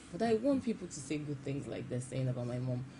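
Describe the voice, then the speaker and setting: A woman with a Nigerian accent speaks in a very deep, low pitch, somewhat breathy, with lively intonation. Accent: Nigerian accent now. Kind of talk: TV interview. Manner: halting, frequent repetitions.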